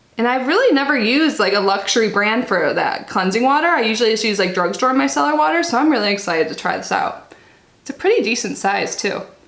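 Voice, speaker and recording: A woman talks at a very fast pace with a fairly high pitch and very wide pitch swings. Audible room echo and noticeable background noise sit behind her. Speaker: unboxing YouTuber. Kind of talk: casual product review vlog.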